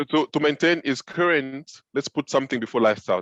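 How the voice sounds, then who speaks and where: A man speaks with a French accent and ordinary pitch variation. The sound is dry and close, with no echo. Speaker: film director and web series co-host. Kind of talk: casual script-writing session.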